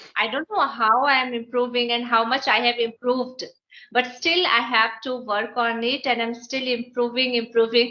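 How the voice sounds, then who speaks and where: Speaking with a northern Indian accent, a woman with a high, bright and sharp voice keeps a moderate pace while her loudness swings widely. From India, Bihar. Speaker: English teacher. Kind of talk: casual English practice conversation. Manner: halting, hesitant.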